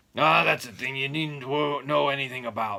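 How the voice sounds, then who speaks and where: A man shouts in a put-on character voice, raspy and gruff, at a medium pitch. His pace is moderate. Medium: read story. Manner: gruff, shouting.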